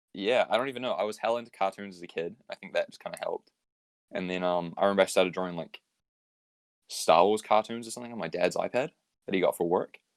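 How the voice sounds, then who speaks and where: A man with a New Zealand accent talks at a very fast pace, the sound dry and close with no echo. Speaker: graphic designer. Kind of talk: casual chat.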